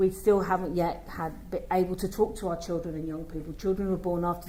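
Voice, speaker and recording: Fairly low female tones, fairly even in intonation, within audible room echo. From London, England. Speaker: children's commissioner. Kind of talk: conference speech.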